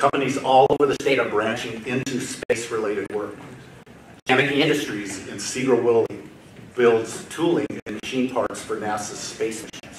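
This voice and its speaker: A man with a medium pitch keeps a moderate pace and fairly even intonation while noticeable background noise runs behind him. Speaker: state government aerospace official. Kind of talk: conference welcome speech. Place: hall. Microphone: podium.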